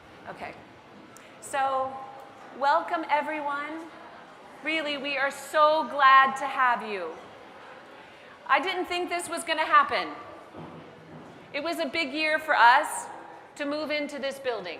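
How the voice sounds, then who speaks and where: A woman's raised, projected voice at high pitch, with ordinary pitch variation, big swings in loudness and long, frequent pauses, amid noticeable background noise and audible room echo. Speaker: head of school. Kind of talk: welcome speech. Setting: stage with audience. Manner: high energy.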